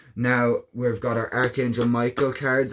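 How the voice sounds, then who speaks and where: Recorded very cleanly with a silent background, a man speaks at a medium pitch. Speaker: tarot card reader. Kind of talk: tarot reading video. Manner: fast; casual with fillers.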